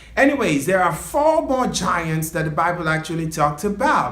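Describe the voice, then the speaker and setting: A man's playful-toned voice with very wide pitch swings, music playing behind him. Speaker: storyteller. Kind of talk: casual talk to camera. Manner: chatty, playful.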